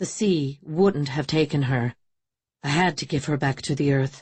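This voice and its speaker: The speaker uses a put-on character voice with a weary tone. The pitch is low-to-middle and the pace moderate. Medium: read story. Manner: weary, hushed.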